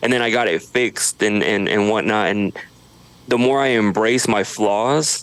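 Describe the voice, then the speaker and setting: A man with an American accent speaks in an ordinary speaking voice at medium pitch. His intonation is fairly even and his loudness very even. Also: moderate pace. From Idaho, US. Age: 30s. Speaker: social media creator. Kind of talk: podcast interview. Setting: home studio.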